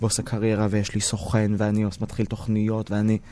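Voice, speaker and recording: A man speaks at a fairly quick clip with a fairly low pitch. His tone is dark and mellow. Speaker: theatre director and TV presenter. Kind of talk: interview. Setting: studio.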